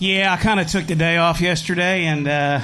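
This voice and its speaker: A man with an American accent speaks in a high voice, his intonation fairly even, with audible echo in the room. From US Midwest, Indiana. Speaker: professional angler. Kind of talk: stage interview.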